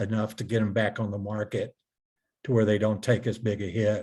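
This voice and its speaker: The voice is somewhat breathy, on a very clean recording with a silent background. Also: man. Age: 70s. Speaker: real estate investor. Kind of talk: interview.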